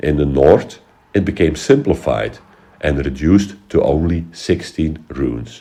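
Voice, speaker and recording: Using vocal fry, a man talks at a fairly slow pace, his very deep, low pitch showing ordinary variation. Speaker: history educator. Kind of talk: educational talk.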